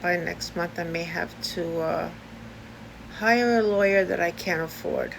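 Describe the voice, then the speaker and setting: A woman with a New York accent talks at a fairly slow pace. Audible room echo surrounds her voice. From US Northeast, Brooklyn, New York. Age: 60s. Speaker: video blogger. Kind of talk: personal vlog. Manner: halting, many fillers.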